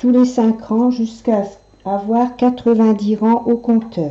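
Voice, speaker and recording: A woman speaks at a very slow pace. Her voice is somewhat breathy, with a fairly high pitch. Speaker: knitting tutorial maker. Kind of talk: tutorial.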